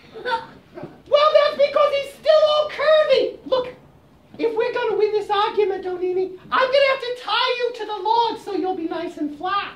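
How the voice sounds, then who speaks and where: Here is a put-on character voice that sounds female and sits at an extremely high pitch. The pace is moderate. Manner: coaxing, crafty.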